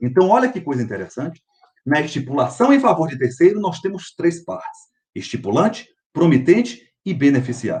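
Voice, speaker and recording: A man talks in a fairly high pitch at a moderate pace. His pitch swings very widely. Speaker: law professor. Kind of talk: lecture.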